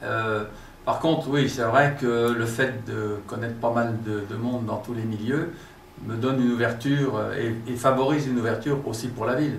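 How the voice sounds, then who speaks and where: Through audible room echo and noticeable background noise, a man speaks at a moderate pace with fairly even intonation. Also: medium pitch for a man. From France, Burgundy (Saône-et-Loire). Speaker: local politician and businessman. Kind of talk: interview. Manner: hesitant with many fillers.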